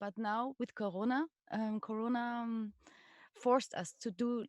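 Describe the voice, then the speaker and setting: The recording is dry and close, with no echo, of a woman with a fairly high pitch. She speaks at a fairly slow pace with ordinary pitch variation. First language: French. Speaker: stage artist. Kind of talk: casual chat. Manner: halting.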